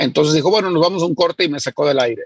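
The sound is dry and close, with no echo. A man speaks at a high pitch with ordinary pitch variation. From Mexico. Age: 40s. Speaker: entrepreneur. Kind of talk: interview.

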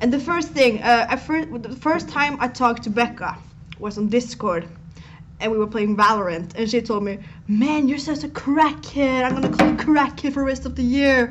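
A woman's animated tone, high in pitch, with lively intonation and a moderate pace over noticeable background noise. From Norway. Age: 20s. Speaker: live streamer. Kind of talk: casual chat. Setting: live stream.

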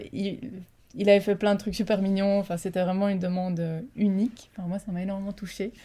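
A woman talks at a fairly quick pace in a medium pitch, somewhat breathy, with a dark, mellow tone. Her intonation is monotone and flat. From Belgium. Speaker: global mobility specialist. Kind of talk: interview.

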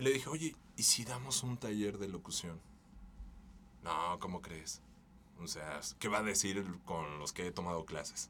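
Speaking at a fairly slow pace with long, frequent pauses, a man with a fairly low pitch uses lively intonation and a bright, sharp tone. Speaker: voice-over artist. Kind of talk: casual chat.

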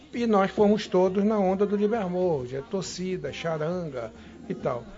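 A man's fairly slow, high-pitched delivery with lively intonation. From Manaus, Amazonas, Brazil. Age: 60s. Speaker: federal congressman. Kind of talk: interview.

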